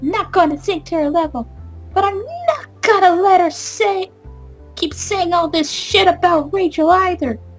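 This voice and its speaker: A woman speaks at a fairly slow pace over music in the background. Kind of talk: casual let's-play commentary. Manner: casual, animated, reacting and theorizing about the game.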